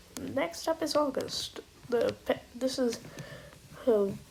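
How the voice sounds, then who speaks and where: A woman speaks while noticeable noise can be heard behind her. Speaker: amateur voice actor. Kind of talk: casual talk to camera.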